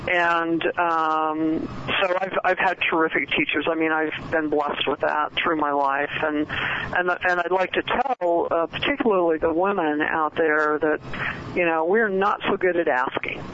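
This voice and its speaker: A woman with a fairly low pitch talks at a fairly slow pace, her loudness very even and her pitch variation ordinary. Noticeable background noise is present. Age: 60s. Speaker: author and networking expert. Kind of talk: radio interview. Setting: phone call.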